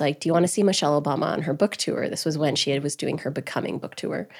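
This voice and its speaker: In a Canadian accent, a woman with a very deep, low pitch talks at a very fast pace with fairly even intonation, on a very clean recording with a silent background. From Alberta, Canada (Grande Prairie). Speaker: entrepreneur and interviewer. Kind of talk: podcast interview.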